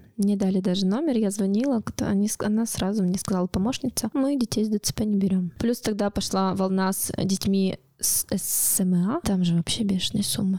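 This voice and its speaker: In a dry, close sound with no echo, a woman with a plain, everyday voice talks at a moderate pace and medium pitch, her loudness very even. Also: ordinary pitch variation. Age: 30s. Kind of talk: personal testimony interview. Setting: studio.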